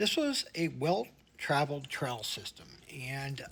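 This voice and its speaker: A man is speaking. Music plays in the background. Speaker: outdoor vlogger. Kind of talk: vlog narration.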